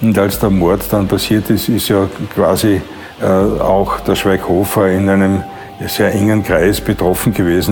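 Music plays in the background. A man speaks at a fairly low pitch with monotone, flat intonation. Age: 70s. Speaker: former dancer. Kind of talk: interview testimony. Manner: halting.

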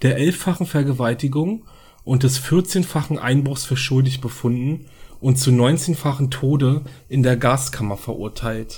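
Somewhat breathy and dark, mellow in tone, a man speaks at a very slow pace with medium pitch and ordinary pitch variation on a very clean recording with a silent background. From Berlin. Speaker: true crime podcaster. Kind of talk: true crime narration. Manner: hesitant, many filler sounds.

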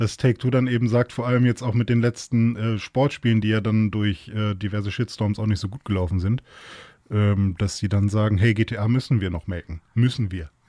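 In a very clean recording with a silent background, a man speaks with a fairly low pitch and a dark, mellow tone. His intonation is fairly even, and the sound is dry and close with no echo. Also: moderate pace. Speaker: podcast guest. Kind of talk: casual chat.

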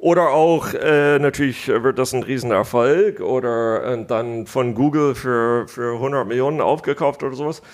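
Speaking at a fairly slow pace with hardly any pauses, a man uses a medium pitch and ordinary pitch variation. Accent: American. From United States. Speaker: business angel investor. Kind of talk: interview.

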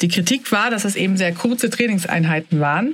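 A woman speaks at a moderate pace with a medium pitch. Her voice is somewhat breathy, with lively intonation. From Sweden, then Germany (bilingual). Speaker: podcast host, health journalist. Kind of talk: casual health podcast talk.

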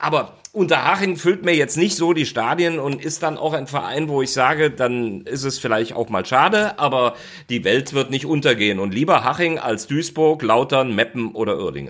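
At a moderate pace, a man speaks in a fairly high voice with lively intonation. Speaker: football commentator. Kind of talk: casual chat.

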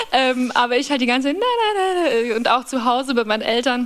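A woman in a Bavarian accent talks at a moderate pace with a high pitch and lively intonation, noticeable background noise behind her. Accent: Bavarian, rolled R. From Bavaria, Upper Palatinate (small village). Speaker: singer-songwriter. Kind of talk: casual chat.

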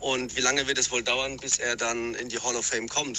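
Over noticeable background noise, a man speaks at a medium pitch and moderate pace. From Palatinate, Germany. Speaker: listener calling in with a question. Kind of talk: recorded voice message.

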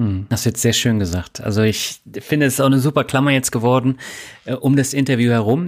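The recording is very clean, with a silent background. A man speaks at a very fast pace. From Germany. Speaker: podcast host. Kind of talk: interview; scripted narration.

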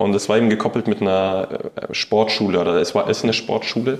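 A man at a fairly low pitch and a moderate pace against a quiet background. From Saxony, Ore Mountains (Annaberg-Buchholz), later Munich. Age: 20s. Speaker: professional footballer. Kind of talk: interview. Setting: stadium room, in person. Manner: halting, many fillers.

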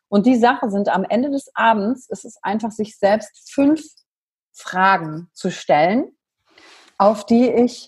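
At a very slow pace, a woman talks with lively intonation at a fairly high pitch, sounding somewhat breathy. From western Germany, near Wuppertal. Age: 30s. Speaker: emotional intelligence coach. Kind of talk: podcast interview.

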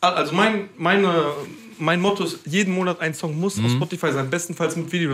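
A man with a high pitch speaks at a very fast pace, using ordinary pitch variation. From Mainz, Germany. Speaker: trap rapper. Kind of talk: casual chat.

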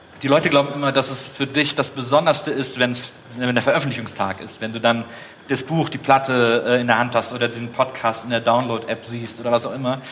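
Over noticeable background noise, a man speaks fairly quickly at a medium pitch with fairly even intonation. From Rhineland, Germany (Wesseling near Cologne). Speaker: podcaster, author and TV host. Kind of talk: casual chat.

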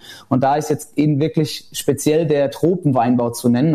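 A man's fairly high, somewhat breathy voice keeps its intonation fairly even. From Germany, Rheinhessen. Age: 20s. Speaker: winemaker. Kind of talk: casual interview.

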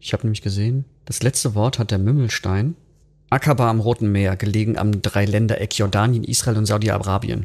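Over a quiet background, a man with an unremarkable speaking voice talks at a fairly quick pace in a fairly low pitch, his intonation fairly even. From western Germany, Bergisches Land. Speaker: rock musician. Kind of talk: casual chat.

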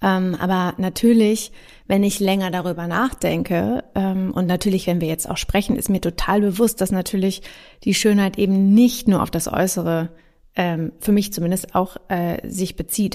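A woman speaks at a medium pitch in a dark, mellow tone, fairly slowly and with fairly even intonation, on a very clean recording with a silent background. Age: 30s. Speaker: podcast host. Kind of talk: casual chat.

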